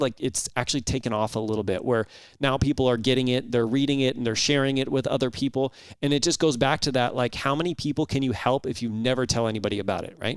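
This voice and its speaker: A man with an American accent talks at a very fast pace and a medium pitch. His pitch varies in an ordinary way, and the recording is very clean with a silent background. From Los Angeles, California. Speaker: retired police sergeant and leadership coach. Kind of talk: interview conversation. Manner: fast-talking.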